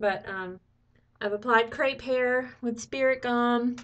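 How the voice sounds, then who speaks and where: Very slow delivery with fairly even intonation. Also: woman. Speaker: makeup tutorial creator. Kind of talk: tutorial. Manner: casual, chatty.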